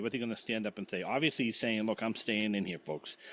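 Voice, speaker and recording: A man talks at a very fast pace. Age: 60s. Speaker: podcast guest. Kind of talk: political debate. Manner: halting, many repeated words.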